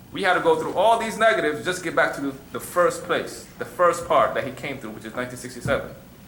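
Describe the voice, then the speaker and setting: A man's very fast, fairly high-pitched speech with lively intonation, noticeable background noise and audible room echo. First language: Arabic. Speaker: religious teacher. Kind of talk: question and answer class. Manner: conversational, repeats you know what I'm saying.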